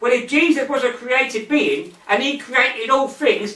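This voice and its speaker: Raising and projecting his voice, a man speaks at an extremely high pitch and moderate pace with ordinary pitch variation, over noticeable background noise. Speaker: evangelist and Bible teacher. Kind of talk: Bible teaching.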